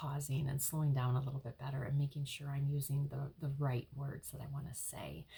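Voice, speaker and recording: A woman's very deep, low voice, somewhat breathy and dark and mellow in tone, at a fairly quick pace. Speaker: life coach and hypnotherapist. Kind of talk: casual vlog talk. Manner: hesitant, many fillers.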